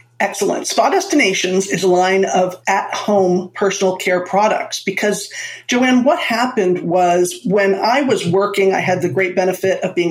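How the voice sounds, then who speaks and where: With noticeable background noise behind it, the voice holds a very even loudness and ordinary pitch variation, moving at a moderate pace with hardly any pauses. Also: woman. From Florida, US (born in Manhattan). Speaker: entrepreneur and marketing strategist. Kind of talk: interview conversation.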